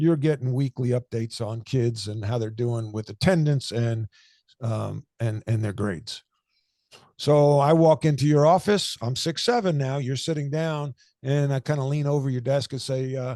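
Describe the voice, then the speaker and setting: In an American accent, a man speaks at a moderate pace with a dark, mellow tone. The sound is dry and close with no echo, over a quiet background. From US Northeast, Long Island. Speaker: former basketball coach and author. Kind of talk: podcast interview. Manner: loud.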